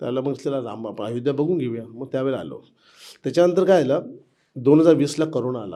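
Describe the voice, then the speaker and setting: Audible room echo around a man's medium-pitched voice, dark and mellow in tone, with ordinary pitch variation and big swings in loudness. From Mumbai, India (Girgaon). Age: 50s. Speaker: temple construction safety manager, former activist volunteer. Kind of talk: interview, personal reminiscence. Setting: old temple in Ayodhya.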